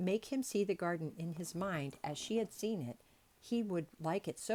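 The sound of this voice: The pitch rises and falls in an ordinary way. The reading voice is unforced.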